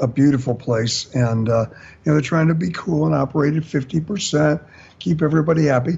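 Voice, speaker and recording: A man with an American accent at a fairly quick pace, somewhat breathy, with ordinary pitch variation and very even loudness. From US Midwest. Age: 60s. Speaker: singer and bandleader. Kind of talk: casual chat.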